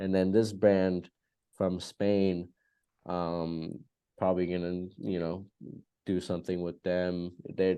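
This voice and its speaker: Very slowly and with long, frequent pauses, a man with an American accent speaks in a very deep, low, flat monotone. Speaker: fragrance podcast co-host. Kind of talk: casual chat.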